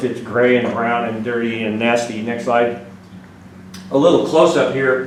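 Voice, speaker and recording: A man with an American accent talks with fairly even intonation, with audible room echo and noticeable background noise. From Washington state. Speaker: retired army colonel. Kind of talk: slide presentation talk. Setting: meeting room with audience. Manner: fast.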